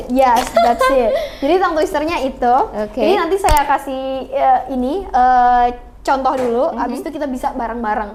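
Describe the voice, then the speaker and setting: A woman's high pitch with ordinary variation at a moderate pace over noticeable background noise. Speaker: podcast host.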